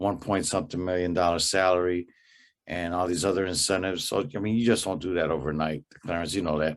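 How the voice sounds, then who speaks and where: Against a silent background in a very clean recording, a man with an American accent and a very deep, low pitch speaks very fast with fairly even intonation. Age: 60s. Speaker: sports podcast co-host. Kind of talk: casual sports chat.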